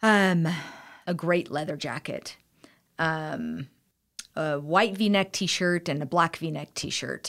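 A woman speaks very slowly in a fairly low pitch, with ordinary pitch variation and long, frequent pauses. The recording is very clean, with a silent background. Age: 40s. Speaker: style consultant. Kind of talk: interview. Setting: studio.

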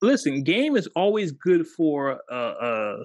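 An animated man is speaking. The recording is very clean, with a silent background. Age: 40s. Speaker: podcast host. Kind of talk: casual chat.

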